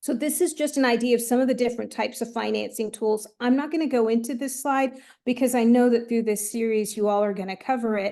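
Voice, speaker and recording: This woman has a dark, mellow tone and a high pitch, with fairly even intonation. She talks at a very fast pace with hardly any pauses against a quiet background. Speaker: economic development trainer. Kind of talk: training presentation.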